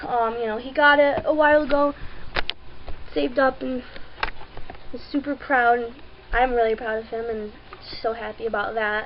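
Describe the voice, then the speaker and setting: A woman's high voice, with ordinary pitch variation, comes through noticeable background noise. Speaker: vlogger. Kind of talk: personal video update. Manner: slow. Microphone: webcam, poor video quality.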